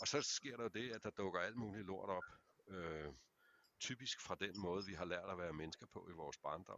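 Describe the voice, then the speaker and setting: A man with a fairly low pitch, ordinary pitch variation and a moderate pace has an ordinary speaking voice. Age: 50s. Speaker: men's therapist. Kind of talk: casual chat.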